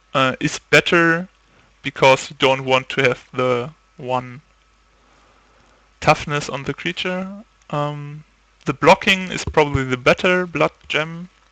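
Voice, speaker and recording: A man with a non-native accent speaks at a very slow pace, with long, frequent pauses and big swings in loudness. His voice is fairly high with a bright, sharp tone, and the sound is dry and close with no echo. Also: ordinary pitch variation. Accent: heavy non-native. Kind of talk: casual game review talk.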